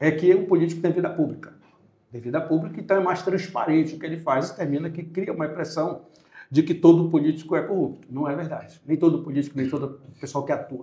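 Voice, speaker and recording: Fairly quick and fairly high in pitch, a man speaks with fairly even intonation. His tone is dark and mellow. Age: 60s. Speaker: lawyer and political candidate. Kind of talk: podcast interview. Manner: hesitant, self-correcting.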